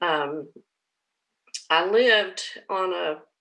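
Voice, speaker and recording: A woman speaks here. She has an Appalachian accent. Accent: Appalachian Southern US. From southwest Virginia (Russell County). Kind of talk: personal testimony. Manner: halting, many fillers.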